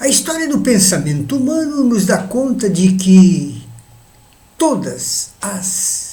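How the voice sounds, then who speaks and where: Through noticeable background noise and audible room echo, a man talks very slowly in a high pitch with very wide pitch swings. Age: 80s+. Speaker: elderly video essayist. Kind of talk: monologue reflection.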